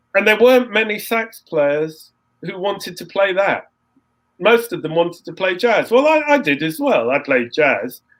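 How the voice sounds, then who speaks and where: Swinging his pitch very widely, a man speaks high for his sex in an English accent. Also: moderate pace. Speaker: composer and saxophonist. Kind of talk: interview, casual storytelling. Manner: halting, repetitive restarts.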